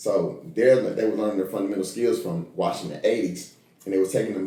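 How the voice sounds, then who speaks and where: A man talks at a fairly quick pace. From Tennessee (Nashville). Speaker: college basketball coach. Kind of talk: podcast interview.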